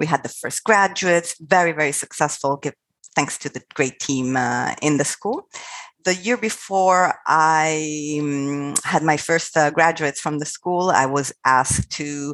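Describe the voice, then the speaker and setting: Very deep, low-pitched woman's voice with an Italian accent, ordinary pitch variation and a fairly slow pace, dry and close with no echo against a quiet background. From Italy. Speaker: international school recruitment executive. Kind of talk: interview.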